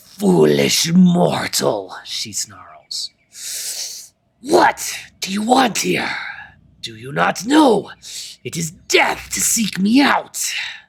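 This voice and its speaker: A man's put-on character voice, raspy and growling, high-pitched for a man, at a very slow pace with long, frequent pauses. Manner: snarling, hateful.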